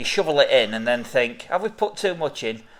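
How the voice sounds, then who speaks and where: A man speaks with lively intonation as noticeable noise carries on behind him. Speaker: beer reviewer and craft beer seller. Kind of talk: casual beer tasting review chat.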